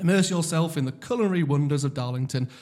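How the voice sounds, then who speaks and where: The very clean recording, silent in the background, captures a man with a fairly high, somewhat breathy voice and ordinary pitch variation. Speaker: podcast host. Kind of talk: casual podcast chat.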